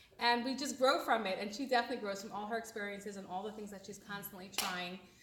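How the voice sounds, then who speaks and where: A woman with an American accent at medium pitch, very fast and fairly even in intonation, with big swings in loudness, audible room echo and noticeable background noise. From USA. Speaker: event organizer introducing a comedian. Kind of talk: introduction speech.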